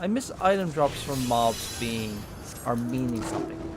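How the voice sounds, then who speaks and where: Someone speaks at a fairly slow pace with an Irish accent. Music plays in the background. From Ireland. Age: 30s. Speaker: gaming streamer. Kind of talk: casual live-stream chat while gaming.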